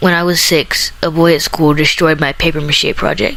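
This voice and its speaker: A woman talks at a moderate pace, and noticeable background noise can be heard behind her. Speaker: spoken word poet. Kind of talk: slam poetry reading.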